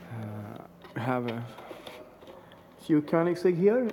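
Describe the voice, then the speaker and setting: Speech comes at a fairly slow pace. Light background noise is present. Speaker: visitor filming a factory tour. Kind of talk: casual walkthrough commentary. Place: hall. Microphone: phone near.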